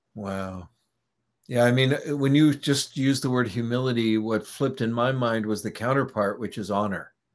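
With a plain, everyday voice, a man talks at a moderate pace and with ordinary pitch variation. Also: medium pitch for a man, very clean recording, silent background. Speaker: podcast host. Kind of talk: casual interview chat.

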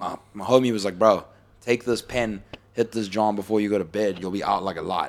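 An unremarkable speaking voice from a man, fairly low-pitched, fairly quick and fairly even in intonation. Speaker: podcast host. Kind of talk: casual podcast chat. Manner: casual, slangy.

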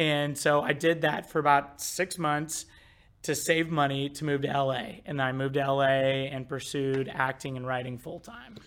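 A man's unremarkable speaking voice, fairly high in pitch, with an American accent, fairly even intonation and a moderate pace. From US Midwest. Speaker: marketing director. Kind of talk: casual chat.

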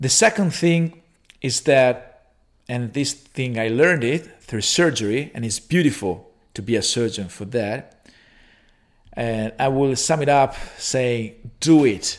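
A man with an Italian accent speaks at a medium pitch with ordinary pitch variation. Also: fairly slow pace. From Italy. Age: 30s. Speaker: orthopaedic surgeon. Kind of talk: interview. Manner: halting.

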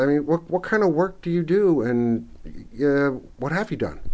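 A plain, everyday voice with an American accent, lively intonation and a moderate pace. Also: man. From New York City, Bronx. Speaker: podcast host. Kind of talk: interview, casual conversation.

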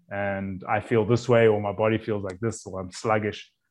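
A man speaks with a South African accent at a fairly low pitch. The background is quiet. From South Africa, Cape Town. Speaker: chef. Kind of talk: casual chat.

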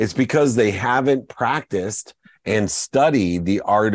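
In a normal speaking voice, a man with a fairly low pitch talks at a moderate pace with lively intonation, the sound dry and close with no echo and the background quiet. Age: 50s. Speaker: entrepreneur and motivational speaker. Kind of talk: interview.

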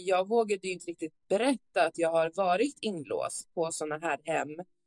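A woman with a normal speaking voice, fairly low in pitch with ordinary pitch variation, at a fairly slow pace, in a dry, close sound with no echo. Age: 30s. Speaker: advocate with lived experience of youth care homes. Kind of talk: interview testimony.

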